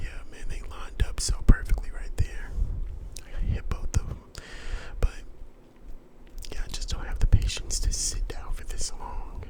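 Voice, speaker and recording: A man's relaxed whisper with long, frequent pauses over noticeable background noise. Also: moderate pace. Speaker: gaming ASMR YouTuber. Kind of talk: casual talk to camera, voiceover commentary. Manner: relaxed, casual, conversational.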